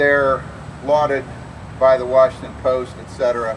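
Noticeable background noise sits under a man who speaks very slowly. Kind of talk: rally speech. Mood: critical, measured. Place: street. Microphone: camera far.

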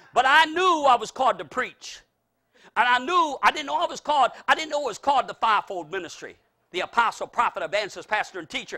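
Against a quiet background, a man speaks at a very fast pace in a raised, projected voice, his extremely high pitch carrying a bright, sharp tone and an animated delivery. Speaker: preacher. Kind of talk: sermon. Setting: church. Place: hall.

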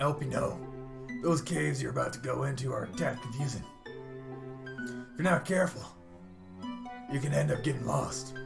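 A man puts on a gravelly character voice at a medium pitch and a moderate pace. He leaves long, frequent pauses while clear music plays in the background.

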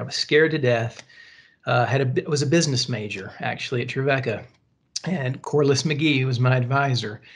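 A man with a Southern US accent talks at a fairly quick pace with fairly even intonation against a quiet background. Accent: Southern American. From US South, Tennessee. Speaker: pastor. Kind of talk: casual chat. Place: home room. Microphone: video call.

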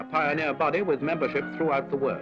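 Clear music sits behind this man's voice. He speaks at a very fast pace. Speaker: documentary narrator. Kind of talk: formal documentary narration. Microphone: old recording.

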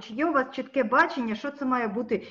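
Her voice sits high in pitch, and she shows ordinary pitch variation. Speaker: journalist. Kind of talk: press briefing questions. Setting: video call. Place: home room. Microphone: webcam.

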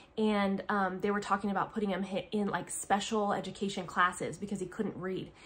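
A woman talks at a fairly quick pace with an American accent. Her intonation is monotone and flat. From US Pacific Northwest. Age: 30s. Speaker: homeschooling mother and family vlogger. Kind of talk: casual vlog monologue. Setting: at home, filming a video. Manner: chatty, with frequent fillers. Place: home room. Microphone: phone near.

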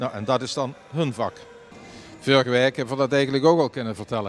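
A man speaks at a fairly quick pace. His pitch variation is ordinary. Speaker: local TV reporter. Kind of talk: on-location news report. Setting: outdoors at shopping centre. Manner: casual, halting with fillers. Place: market. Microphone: handheld.

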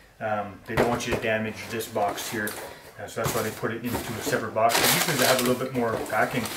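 A man's fast, fairly low-pitched, fairly bright voice with little pitch movement and audible room echo

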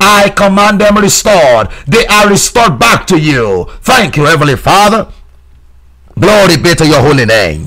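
This man has a high pitch and very wide pitch swings. He speaks at a moderate pace with very even loudness. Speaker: preacher leading prayer. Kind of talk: sermon with fervent, commanding prayer. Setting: broadcast to remote listeners. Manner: fervent, insistent, commanding; repetitive, rhythmic exhortation.

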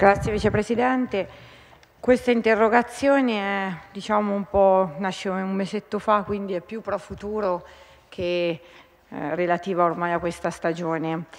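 A woman speaks at a fairly slow pace with long, frequent pauses. Her pitch is medium, with ordinary pitch variation. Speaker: regional councillor. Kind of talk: parliamentary question time, reading out a question. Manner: hesitant, many filler pauses. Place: hall. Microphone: podium.

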